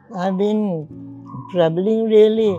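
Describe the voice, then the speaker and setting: A woman is speaking, with faint music in the background. The sound is dry, with no echo. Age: 80s+. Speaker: retired teacher. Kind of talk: interview answer. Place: garden. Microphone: lapel.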